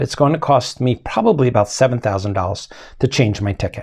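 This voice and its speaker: A somewhat breathy voice with ordinary pitch variation against a quiet background. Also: man. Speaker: space project founder, educational series host. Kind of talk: narrated educational talk, storytelling.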